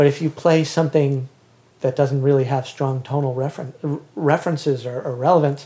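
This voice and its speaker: Somewhat breathy, a man speaks with a fairly high pitch, a dark, mellow tone and fairly even intonation. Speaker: composer and author. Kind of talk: casual chat. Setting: home basement.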